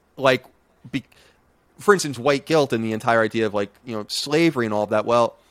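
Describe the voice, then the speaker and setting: Very fast speech with an American accent comes through with a dry, close sound and no echo. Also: man. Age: 30s. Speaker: podcaster and game journalist. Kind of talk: casual interview chat. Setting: video call.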